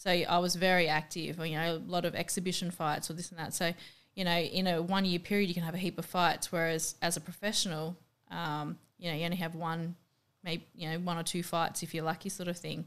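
A woman with a strong Australian accent speaks at a fairly quick pace, her fairly low pitch held in monotone, flat intonation. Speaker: professional MMA fighter and boxer. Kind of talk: casual interview chat.

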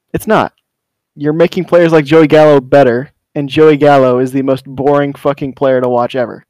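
A man with an unremarkable speaking voice talks at a moderate pace, his intonation fairly even. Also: fairly high pitch for a man. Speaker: surprise guest, racer.

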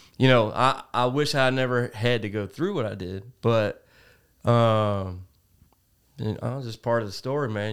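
An American accent marks this man's medium-pitched voice, which moves at a moderate pace with fairly even intonation on a very clean recording with a silent background. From Cincinnati, Ohio. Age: 40s. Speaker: podcast guest. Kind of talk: casual chat. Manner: halting.

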